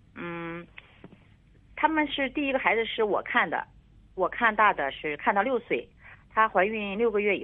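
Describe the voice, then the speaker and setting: A woman's medium-pitched voice with very wide pitch swings, at a moderate pace. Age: 50s. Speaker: caller, grandmother. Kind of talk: call-in phone conversation. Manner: halting.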